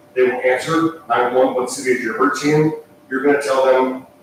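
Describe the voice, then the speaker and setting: At a fairly quick pace, a man with a fairly high pitch and ordinary pitch variation speaks with audible room echo and noticeable background noise. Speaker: dispatch center director presenting to council. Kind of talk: presentation at council meeting. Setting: council meeting room. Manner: fast.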